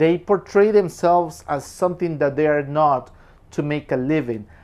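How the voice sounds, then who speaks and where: A man talks with a Spanish accent. The background is quiet. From Peru. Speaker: film reviewer. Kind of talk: casual film review monologue.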